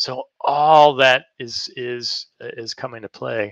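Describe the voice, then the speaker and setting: The man's voice has a bright, sharp tone. The sound is dry and close with no echo. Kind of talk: interview, casual professional.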